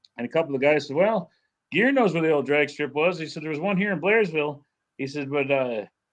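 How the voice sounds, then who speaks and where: A man with an American accent speaks fairly quickly at a fairly high pitch, using lively intonation. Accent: northern accent noticeable to Southerners. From northern US. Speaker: car magazine writer and livestream host. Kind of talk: casual chat. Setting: live stream.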